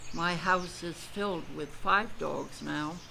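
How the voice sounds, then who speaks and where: Amid audible room echo, a woman speaks at a fairly low pitch. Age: 80s+. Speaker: painter and author. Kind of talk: personal narration.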